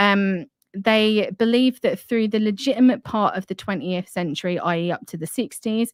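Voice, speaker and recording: Speaking in a Cockney accent, a woman talks at a moderate pace and medium pitch, with a dry, close sound and no echo. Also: ordinary pitch variation. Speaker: online show host. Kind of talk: live stream discussion, reading from an article.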